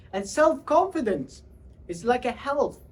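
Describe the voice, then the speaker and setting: A man with a Central Asian accent talks at a fairly slow pace, his extremely high voice swinging very widely in pitch. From Uzbekistan. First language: Tajik. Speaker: public speaker. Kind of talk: motivational talk.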